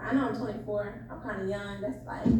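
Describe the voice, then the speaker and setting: A woman is speaking over noticeable background noise. The room adds an audible echo. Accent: American. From Florida (Jacksonville). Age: 20s. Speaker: caller on dating show. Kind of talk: casual call-in chat.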